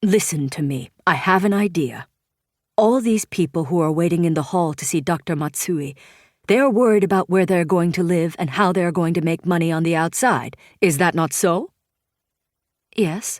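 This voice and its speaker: A gruff, put-on character voice at a moderate pace, on a very clean recording with a silent background. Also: woman, fairly low pitch for a woman. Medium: read story.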